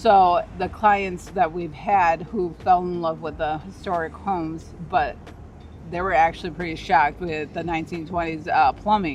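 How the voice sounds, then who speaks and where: Against noticeable background noise, a woman with an American accent speaks at a moderate pace, her fairly low pitch held in a monotone, flat intonation. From Chicago. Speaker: realtor. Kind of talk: casual real estate video chat.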